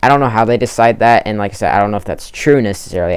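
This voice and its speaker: This is a man speaking at a fairly low pitch. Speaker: gaming YouTuber. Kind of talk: casual commentary video. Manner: fast; filler-heavy, hesitant.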